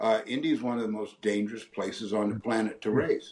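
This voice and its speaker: Speaking with an American accent, a man has a plain, everyday voice. He moves at a moderate pace with ordinary pitch variation. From San Francisco Bay Area, California. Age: 60s. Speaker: retired race car driver. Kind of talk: interview answer.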